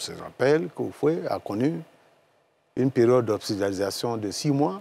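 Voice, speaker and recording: On a very clean recording with a silent background, a man speaks at a medium pitch and a moderate pace with lively intonation. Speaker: politician and pharmacist. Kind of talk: TV panel discussion. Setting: TV studio.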